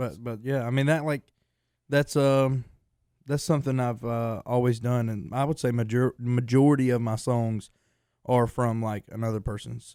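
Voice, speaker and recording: A man with a Southern accent speaks at a moderate pace in a medium pitch, his tone dark and mellow and his intonation fairly even, on a very clean recording with a silent background. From North Carolina, Lexington. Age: 20s. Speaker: country singer. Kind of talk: interview. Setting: studio. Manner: halting.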